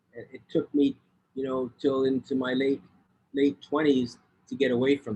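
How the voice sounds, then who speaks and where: With a moderate pace, a man talks at medium pitch, leaving long, frequent pauses. His intonation is monotone and flat. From Canada. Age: 60s. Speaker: public speaker. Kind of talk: interview. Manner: halting, many repeated words.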